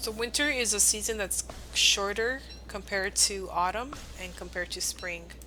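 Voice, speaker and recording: Music plays in the background as someone with a Spanish accent speaks at a moderate pace. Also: woman. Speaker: video game streamer. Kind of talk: live game streaming commentary. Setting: live stream with chat.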